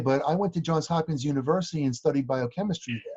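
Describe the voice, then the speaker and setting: A man's normal speaking voice, fairly high in pitch. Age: 60s. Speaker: chiropractic practice coach. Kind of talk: interview.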